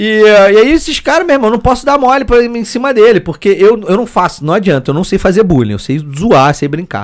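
Very wide pitch swings from a man with a high voice, at a fairly quick pace. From Petrópolis, Rio de Janeiro state, Brazil. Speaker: 3D graphic artist. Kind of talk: casual chat. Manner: animated.

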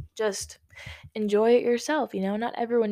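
In a very clean recording with a silent background, a woman talks in an animated tone. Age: young. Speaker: podcast host. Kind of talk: casual solo talk.

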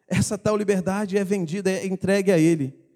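A man's fairly quick delivery, high-pitched yet dark and mellow in tone, with fairly even intonation. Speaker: preacher. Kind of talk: sermon.

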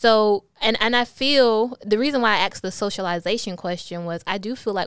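A woman's voice, with ordinary pitch variation, sits on a very clean recording against a silent background. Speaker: podcast host and blogger. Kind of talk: casual interview chat. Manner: mushes words sometimes.

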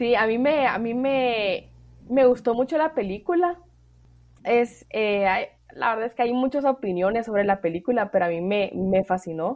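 A woman with an unremarkable speaking voice talks at a moderate pace, her fairly high pitch carrying lively intonation. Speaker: podcast host. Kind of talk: interview.

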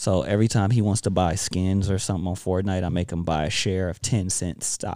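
A man with an American accent talks at a fairly quick pace with hardly any pauses, his very deep, low pitch and dark, mellow tone held in fairly even intonation on a very clean recording with a silent background. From Watts, Los Angeles, California. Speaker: rapper and father. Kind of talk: casual chat.

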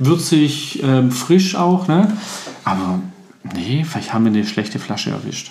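Amid noticeable background noise and audible room echo, a man speaks at a fairly slow pace with very wide pitch swings. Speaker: podcast co-host, gin tasting. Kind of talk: casual chat.

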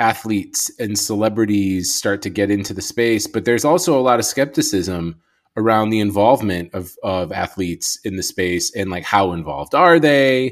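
A man talks in a plain, everyday voice at a moderate pace. His intonation is lively, and the recording is very clean with a silent background. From Chicago, US. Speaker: podcast host. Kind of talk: podcast interview.

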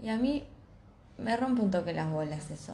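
Somewhat breathy and in a Rioplatense accent, the voice moves at a moderate pace with very wide pitch swings, and the room echo is audible. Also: woman. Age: 20s. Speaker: podcast co-host. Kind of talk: casual chat.

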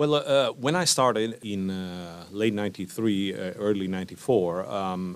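A man with a plain, everyday voice speaks at a fairly low pitch, with ordinary pitch variation. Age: 50s. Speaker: insurance network executive. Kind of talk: interview.

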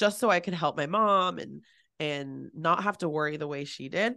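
A woman with a Californian accent and a very deep, low pitch, at a fairly slow pace with ordinary pitch variation, against a quiet background. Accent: Californian American. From San Francisco Bay Area. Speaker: business coach. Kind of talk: casual interview. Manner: animated.

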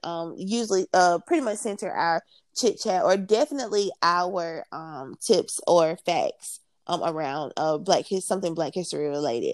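On a very clean recording with a silent background and a dry, close sound with no echo, a woman speaks at a moderate pace and medium pitch with lively intonation. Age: 20s. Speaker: podcast co-host. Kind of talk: casual chat. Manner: animated.

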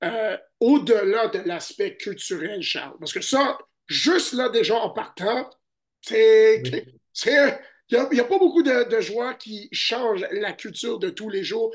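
Very slow speech over a quiet background. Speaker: basketball podcast host and scout. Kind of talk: casual chat. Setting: remote recording from hotel in Chicago.

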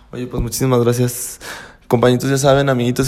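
Over noticeable background noise, a man speaks at medium pitch in an animated tone. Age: 30s. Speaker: podcast host. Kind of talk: casual chat.

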